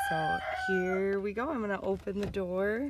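A woman with an American accent speaks at medium pitch over noticeable background noise. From US Upper Midwest (Wisconsin, North Dakota). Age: 30s. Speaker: podcast host. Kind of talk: casual monologue.

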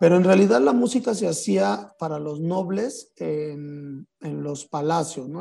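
This man's voice sits at a high pitch for a man and has a dark, mellow tone. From Mexico, San Luis Potosí. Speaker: flutist and composer. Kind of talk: interview.

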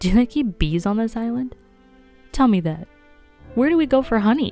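A female-sounding voice does a shrill, put-on character voice at a fairly high pitch and a moderate pace. Faint music plays in the background. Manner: wild, laughing, hysterical.

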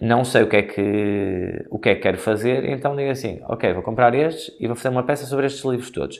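A man with a medium-pitched voice talks at a fairly quick pace with ordinary pitch variation and hardly any pauses. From northern Portugal, Guimarães. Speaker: choreographer. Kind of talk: interview. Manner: hesitant, many fillers.

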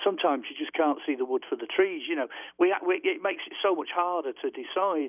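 This speaker talks at a fairly quick pace in a British accent. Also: man. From UK. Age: 60s. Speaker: author and UFO researcher. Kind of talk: radio interview.

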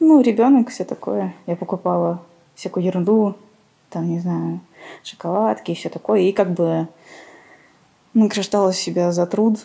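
A woman's medium-pitched, lively voice at a fairly slow pace, broken by long, frequent pauses. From Armenia. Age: 30s. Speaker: podcast guest sharing mental illness story. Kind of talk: personal testimony interview.

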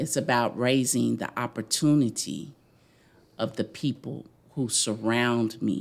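This woman's very deep, low voice carries vocal fry as she talks at a fairly slow pace with ordinary pitch variation. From Louisville, Kentucky (West End). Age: 50s. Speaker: community foundation executive. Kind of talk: casual interview.

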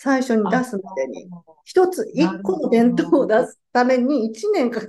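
Her high-pitched voice rises and falls in a lively way, moving at a moderate pace with big swings in loudness as this woman speaks. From Japan, Fukuoka. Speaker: organic market organizer. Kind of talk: interview.

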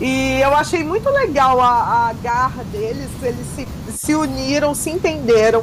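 Over noticeable background noise and audible room echo, a woman speaks at a fairly slow pace with a high pitch and lively intonation. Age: 40s. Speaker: reality show commentator. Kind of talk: casual chat.

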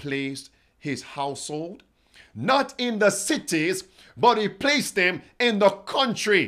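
Speaking at a fairly slow pace, a man uses a high voice with very wide pitch swings and an animated, dramatic tone. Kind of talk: fiery sermon-style Bible prophecy preaching, rallying the online congregation. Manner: animated, emphatic, exhorting, repeating phrases and calling out to the listeners; urgent, dramatic, rhetorical questioning.

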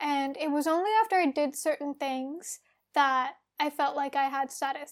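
In an Australian accent, a woman with a high pitch speaks in fairly even intonation on a very clean recording with a silent background. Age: 20s. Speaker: podcast co-host. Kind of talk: casual chat.

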